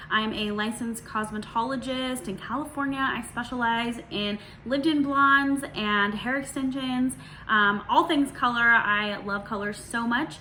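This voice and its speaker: The speech comes at a fairly slow pace. Audible room echo and noticeable background noise are present. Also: woman. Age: 30s. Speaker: hairstylist and video creator. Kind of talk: casual Q&A vlog. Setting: at home in dining room. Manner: relaxed, many filler words.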